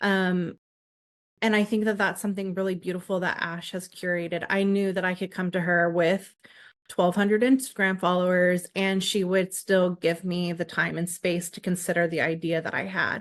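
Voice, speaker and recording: Against a quiet background, a woman talks at a moderate pace in a monotone, flat intonation. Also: medium pitch for a woman. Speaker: podcast host. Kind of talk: casual chat. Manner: halting.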